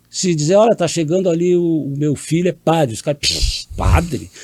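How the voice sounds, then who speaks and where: The sound is dry and close with no echo. A man with a dark, mellow, somewhat breathy tone speaks at a moderate pace. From Brazil, Rio Grande do Sul. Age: 70s. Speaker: politician, mayor. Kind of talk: interview.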